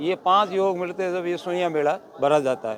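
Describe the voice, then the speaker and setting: A man's high voice, with ordinary pitch variation, comes through noticeable background noise. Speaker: temple caretaker. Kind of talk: interview.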